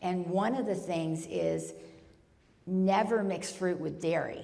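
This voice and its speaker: A woman talks at a fairly slow pace and medium pitch. Audible room echo and noticeable background noise fill the recording. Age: 60s. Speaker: Ayurveda author and speaker. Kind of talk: lecture Q&A. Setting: retreat talk with audience. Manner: animated.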